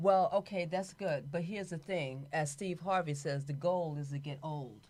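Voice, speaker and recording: A woman speaks at a very deep, low pitch with ordinary pitch variation. The recording is very clean with a silent background. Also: moderate pace. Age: 70s. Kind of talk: casual chat.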